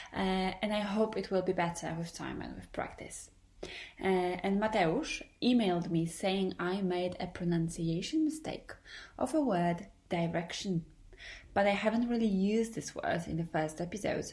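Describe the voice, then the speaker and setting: Speaking at a moderate pace and a medium pitch, a woman with a Polish accent sounds somewhat breathy, with ordinary pitch variation. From Poland. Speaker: podcaster. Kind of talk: podcast monologue. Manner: hesitant.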